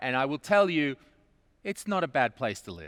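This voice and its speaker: The recording is very clean, with a silent background. A man with an Australian accent speaks with ordinary pitch variation. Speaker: event host, comedian. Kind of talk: live event hosting.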